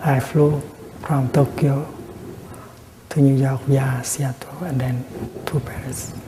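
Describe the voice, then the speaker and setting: Soft-spoken and monotone with flat intonation, a man of medium pitch talks at a very slow pace with long, frequent pauses, against noticeable background noise. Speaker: Buddhist monk and teacher giving a dharma talk. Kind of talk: dharma talk / teaching.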